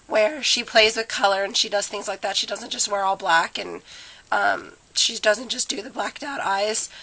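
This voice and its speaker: Noticeable background noise sits behind a woman's voice. She talks at a moderate pace with fairly high pitch. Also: ordinary pitch variation. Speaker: beauty vlogger. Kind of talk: makeup tutorial. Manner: casual, many fillers.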